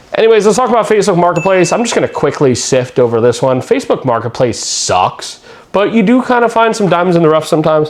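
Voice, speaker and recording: Over noticeable background noise, a man speaks at a very fast pace with hardly any pauses, a high pitch, very wide pitch swings and very even loudness. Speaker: YouTuber, trading card collector and vendor. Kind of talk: casual vlog monologue. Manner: chatty.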